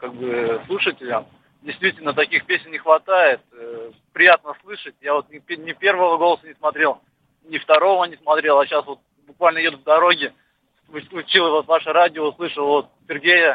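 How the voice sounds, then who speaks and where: A man speaks in a plain, everyday voice at a fairly high pitch and a moderate pace. His pitch varies in an ordinary way, while his loudness swings widely. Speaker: radio host. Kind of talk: casual interview. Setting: studio.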